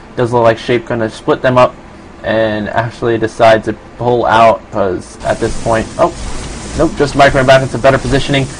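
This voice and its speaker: Noticeable background noise sits behind a man with an American accent, speaking at a medium pitch and moderate pace with fairly even intonation. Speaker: esports caster. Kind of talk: live commentary. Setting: live stream. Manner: hesitant, many fillers.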